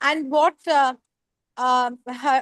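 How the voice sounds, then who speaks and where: In a Bengali accent, a woman speaks at a very slow pace, with a dry, close sound and no echo. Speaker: poet. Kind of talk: online panel discussion.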